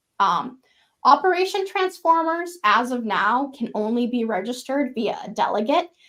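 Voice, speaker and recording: This woman has a high-pitched voice. Her intonation is lively. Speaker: software engineer presenting a framework feature. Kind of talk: technical presentation with live demo.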